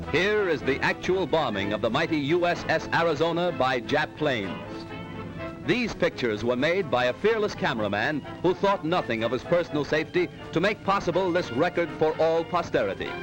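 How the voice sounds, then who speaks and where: Background music plays throughout. The speech runs at a fairly quick pace. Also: man, fairly high pitch for a man, lively intonation. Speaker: newsreel commentator. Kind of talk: wartime newsreel narration. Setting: old 1940s film recording.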